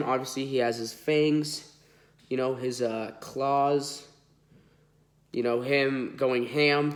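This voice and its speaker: In a nasal voice, a man speaks with monotone, flat intonation. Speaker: toy collector YouTuber. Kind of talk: unboxing video. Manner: casual, filler-heavy.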